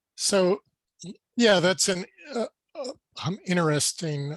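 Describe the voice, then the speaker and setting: The speaker is a man talking at a very slow pace. The sound is dry and close, without echo. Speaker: seismology professor. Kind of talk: Q&A after a lecture. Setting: webinar video call. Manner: slow, with pauses.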